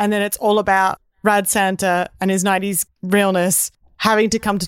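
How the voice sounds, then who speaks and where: A woman with a normal speaking voice and medium pitch talks at a moderate pace, in a very clean recording with a silent background and a dry, close sound with no echo. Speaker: comedian guest. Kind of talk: casual comedy chat.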